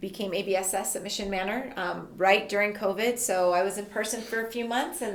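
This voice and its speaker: Noticeable background noise and audible room echo surround a woman with an American accent. She talks at a fairly quick pace with fairly even intonation and hardly any pauses. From Tucson, Arizona. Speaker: elementary school principal. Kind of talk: casual interview.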